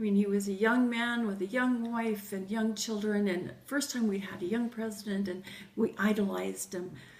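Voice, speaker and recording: Noticeable background noise and audible room echo surround this recording. A woman speaks at medium pitch and a moderate pace, with fairly even intonation. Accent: American. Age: 60s. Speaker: grandmother interviewee. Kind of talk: interview.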